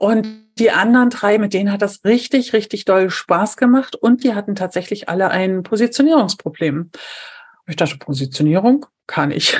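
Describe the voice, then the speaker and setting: The woman's voice is somewhat breathy. She speaks at a moderate pace. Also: medium pitch for a woman, lively intonation. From eastern Germany, Brandenburg an der Havel. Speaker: civil engineer turned trainer and coach. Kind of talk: interview conversation.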